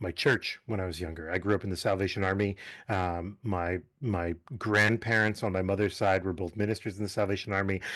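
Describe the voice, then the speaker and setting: Fairly low in pitch, a man with an American accent speaks at a fairly quick pace with fairly even intonation. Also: quiet background. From New England, US (Massachusetts and Connecticut). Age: 40s. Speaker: summer camp director. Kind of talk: casual interview. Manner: hesitant, many fillers.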